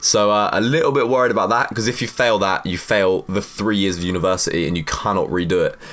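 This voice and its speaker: A man talks with an animated tone at a very fast pace and hardly any pauses. His pitch is fairly low, with ordinary pitch variation. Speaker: fitness youtuber; university student. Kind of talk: casual Q&A monologue.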